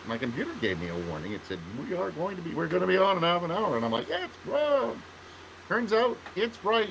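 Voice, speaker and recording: Over noticeable background noise, a man with a Canadian accent speaks with very wide pitch swings. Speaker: writer, podcast co-host. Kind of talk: casual chat. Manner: halting, many fillers and restarts.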